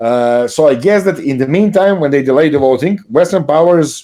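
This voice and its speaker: A man with a Serbian accent has a fairly high pitch and a dark, mellow tone. His intonation is lively. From Serbia, Belgrade. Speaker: political commentator. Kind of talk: interview conversation. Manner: halting, many fillers.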